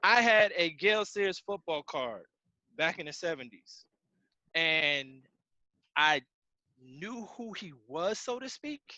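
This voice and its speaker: A man's raised, projected voice, high-pitched with a bright, sharp tone, very wide pitch swings and big swings in loudness, at a very slow pace with long, frequent pauses, dry and close with no echo over a quiet background. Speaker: sports talk radio host. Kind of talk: casual chat. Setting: video call.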